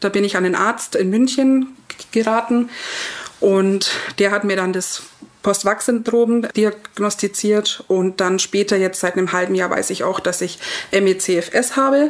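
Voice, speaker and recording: Noticeable background noise runs through the clip. A woman speaks fairly slowly. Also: medium pitch for a woman, ordinary pitch variation. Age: 30s. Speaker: vaccine injury patient telling her story. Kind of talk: personal testimony.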